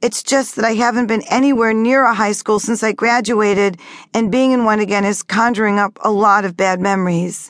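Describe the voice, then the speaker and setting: An unremarkable speaking voice: a woman at a fairly high pitch and fairly quick pace, with fairly even intonation and very even loudness over a quiet background. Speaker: audiobook narrator and author. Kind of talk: dramatic first-person audiobook narration, reading memoir aloud. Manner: expressive, hushed and tense, building emotional weight; shifts into quiet, trembling dialogue and warm reassurance.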